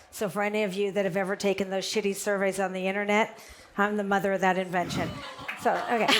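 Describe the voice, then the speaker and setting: A woman speaks at a very fast pace in a medium pitch, with monotone, flat intonation, very even loudness and noticeable background noise. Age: 60s. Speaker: internet research entrepreneur, panelist. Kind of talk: panel discussion.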